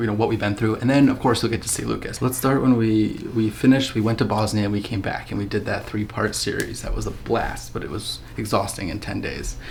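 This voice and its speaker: Quiet and very fast with hardly any pauses, a man with an American accent speaks at a fairly low pitch in a monotone, flat intonation, with audible room echo and noticeable background noise. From USA. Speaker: vlogger. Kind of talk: casual chat. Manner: hushed.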